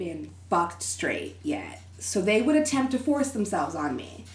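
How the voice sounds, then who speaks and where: Using very wide pitch swings and vocal fry, a woman with an American accent talks at a moderate pace. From Texas. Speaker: interview guest. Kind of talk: casual chat. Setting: studio.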